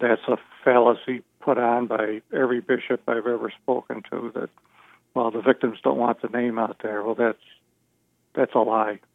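A man at medium pitch talks at a moderate pace with fairly even intonation in a plain, everyday voice. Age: 60s. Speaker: abuse survivor. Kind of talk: interview.

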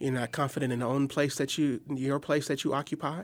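A medium-pitched man with an American accent is heard on a very clean recording with a silent background. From Milwaukee, Wisconsin. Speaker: guest discussing race and family. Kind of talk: podcast conversation.

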